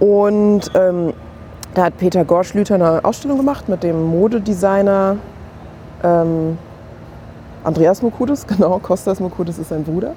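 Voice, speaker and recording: With noticeable background noise around her, a woman at a medium pitch speaks at a moderate pace, with ordinary pitch variation and long, frequent pauses. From Germany. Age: 30s. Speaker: museum curator. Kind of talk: casual chat. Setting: kiosk.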